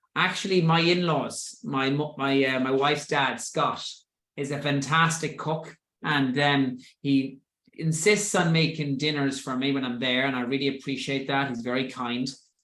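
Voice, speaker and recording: Audible room echo surrounds a man with a fairly high voice speaking at a moderate pace. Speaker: fitness coach leading a group session. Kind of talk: group coaching talk. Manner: animated.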